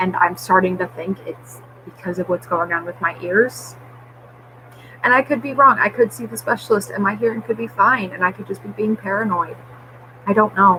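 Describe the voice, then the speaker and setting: Noticeable background noise sits behind a woman speaking at a moderate pace. Her medium-pitched voice swings very widely. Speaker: vlogger. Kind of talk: personal vlog update. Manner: slurred at times.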